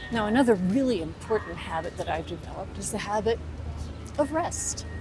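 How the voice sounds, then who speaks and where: A woman speaking at a moderate pace over background music. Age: 70s. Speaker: lifestyle vlogger for seniors. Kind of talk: casual talk to camera.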